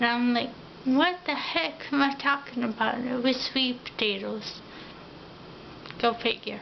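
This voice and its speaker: Against noticeable background noise, a woman with a high pitch speaks at a fairly slow pace, using long, frequent pauses and ordinary pitch variation. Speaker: vlogger. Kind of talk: personal video diary. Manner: many filler ums.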